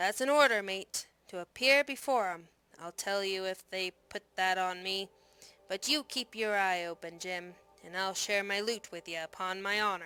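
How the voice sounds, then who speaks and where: A gruff, put-on character voice moves at a moderate pace on a very clean recording with a silent background and a dry, close sound with no echo. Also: woman, medium pitch for a woman. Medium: read story. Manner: gruff seaman's talk.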